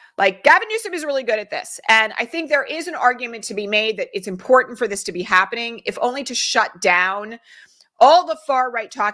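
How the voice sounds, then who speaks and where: In a bright, sharp tone, a woman speaks at a fairly quick pace with an American accent. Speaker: political commentary host. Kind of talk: live-stream commentary. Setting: live stream. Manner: fast.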